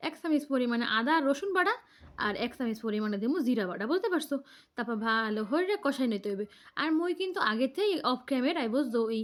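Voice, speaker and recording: Very wide pitch swings mark a woman's high voice. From Bangladesh, Barisal. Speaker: home cooking video host. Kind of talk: cooking tutorial. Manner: casual, chatty.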